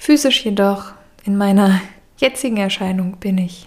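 A somewhat breathy woman's voice at medium pitch, with ordinary pitch variation. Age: 30s. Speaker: podcaster. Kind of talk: personal monologue. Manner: reflective.

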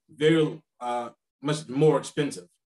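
His voice has a fairly high pitch. The man speaks with an American accent. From US South, South Carolina. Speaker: travel writer and teacher. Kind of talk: interview.

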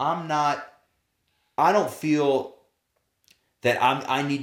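A man's voice with audible room echo. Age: 40s. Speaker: former professional baseball player, sales leader. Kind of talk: interview. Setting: in person at guest's home. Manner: casual.

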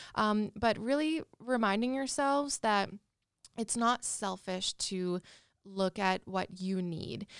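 The speech has a Canadian Prairies accent and a very slow pace. The recording is very clean, with a silent background. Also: woman, ordinary pitch variation. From Saskatchewan, Canada (Regina). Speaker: social worker. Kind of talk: casual interview.

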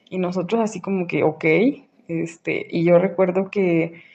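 This woman's tone is dark and mellow. She talks at a fairly slow pace. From Mexico, Aguascalientes. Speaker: listener sharing a story. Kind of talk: recorded voice message anecdote. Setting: voice note.

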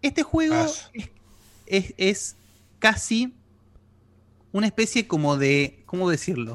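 Over a very clean recording with a silent background, a woman of medium pitch speaks with a Rioplatense accent at a very slow pace, using long, frequent pauses, very wide pitch swings and very even loudness. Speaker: podcast host. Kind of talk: casual chat. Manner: forgets names, halting.

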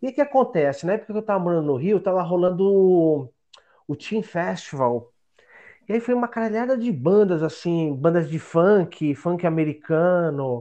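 A man with a high pitch and lively intonation speaks in a dark, mellow tone. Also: moderate pace, quiet background. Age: 40s. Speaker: podcast contributor, history graduate. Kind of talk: casual interview.

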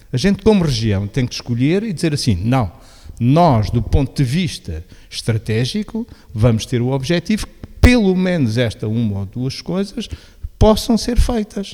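A man's dark, mellow voice at a medium pitch, with very wide pitch swings and a moderate pace. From Portugal, Beja (Alentejo). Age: 60s. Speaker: local government veteran and social innovation agent. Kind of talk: radio interview.

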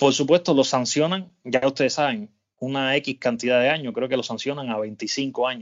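An ordinary speaking voice from a man, moderate in pace, with ordinary pitch variation. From Cuba. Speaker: podcast host. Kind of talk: casual chat.

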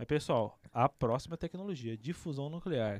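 The sound is dry and close, with no echo. An animated tone comes through at a moderate pace with ordinary pitch variation. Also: man. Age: 20s. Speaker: podcast host. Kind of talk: casual chat.

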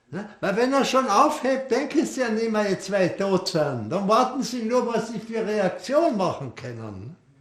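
Lively in intonation, a man's high voice comes through noticeable background noise. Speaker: war veteran. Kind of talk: testimony.

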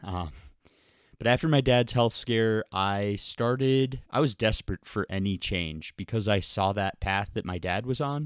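An unremarkable speaking voice from a man with an American accent, fairly low in pitch with ordinary pitch variation, at a fairly slow pace, in a very clean recording with a silent background and a dry, close sound with no echo. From US Midwest (Ohio, Michigan, Wisconsin), later Florida. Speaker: ultramarathon runner and author. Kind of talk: recorded personal story answering emailed questions.

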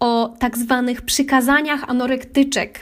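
High-pitched woman's voice at a moderate pace, with monotone, flat intonation. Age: 30s. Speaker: podcaster, psychology student. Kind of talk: personal monologue.

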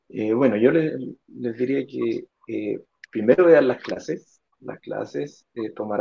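This man has a plain, everyday voice at a medium pitch. He speaks at a fairly slow pace. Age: 30s. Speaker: fitness instructor sharing investor testimony. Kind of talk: testimony. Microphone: clear line.

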